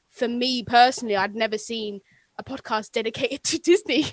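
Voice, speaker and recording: A woman with an American accent speaks in a high, bright, sharp voice with an animated tone, recorded dry and close with no echo. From England. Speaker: podcaster, radio presenter and musician. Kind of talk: casual chat. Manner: animated, fast.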